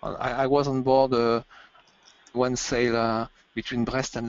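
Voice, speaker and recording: At a moderate pace, a man speaks at a medium pitch in a monotone, flat delivery. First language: French. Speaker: ship technical director. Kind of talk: webinar interview. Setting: online webinar. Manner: halting, many repetitions.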